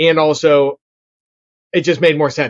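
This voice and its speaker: A man speaks with a Pittsburgh accent. His pitch is fairly high and his intonation fairly even. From Pittsburgh, Pennsylvania (Bethel Park). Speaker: real estate investor and digital marketing agency founder. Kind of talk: interview conversation. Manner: casual, filler-heavy.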